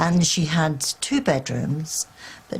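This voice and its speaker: A woman speaks at a very slow pace in a very deep, low pitch. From England, Wigginton. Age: 70s. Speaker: local resident and witness. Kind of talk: interview.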